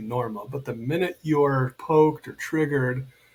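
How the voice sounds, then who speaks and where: A man's somewhat breathy, fairly high voice with an American accent, fairly even intonation and a fairly slow pace. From United States. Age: 60s. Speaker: men's coach and healer. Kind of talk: podcast interview.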